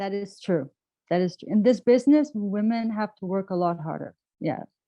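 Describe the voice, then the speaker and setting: A woman speaks at a moderate pace with a plain, everyday voice. Her pitch sits in the middle range and varies in an ordinary way. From Canada. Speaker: rock singer and songwriter. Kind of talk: interview answer.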